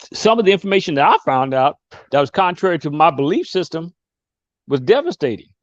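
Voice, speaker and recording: Fairly quick speech in a quiet background, dry and close with no echo. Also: man. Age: 60s. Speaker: guest speaker on a discussion show. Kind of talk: casual discussion. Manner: halting.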